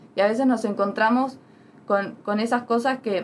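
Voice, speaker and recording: This unremarkable speaking voice moves at a moderate pace with fairly even intonation. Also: woman. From Uruguay. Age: young. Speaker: political activist. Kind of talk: interview.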